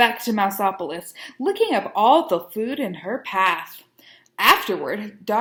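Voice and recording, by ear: Over a quiet background, the text is read aloud in a natural voice with lively intonation.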